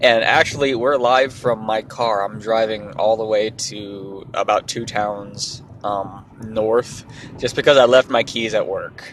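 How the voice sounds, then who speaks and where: A man's fairly slow delivery is joined by noticeable background noise. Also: medium pitch for a man. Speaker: podcast host. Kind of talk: casual chat. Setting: in a car.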